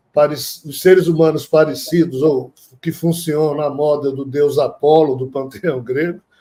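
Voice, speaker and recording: A man's fairly high voice, dark and mellow in tone, with a monotone, flat intonation. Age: 60s. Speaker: spiritual teacher and author. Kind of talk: interview on spirituality.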